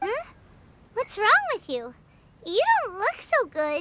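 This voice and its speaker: An extremely high, squeaky put-on character voice, fairly slow and full of very wide pitch swings. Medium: video game. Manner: excitable, exclamatory.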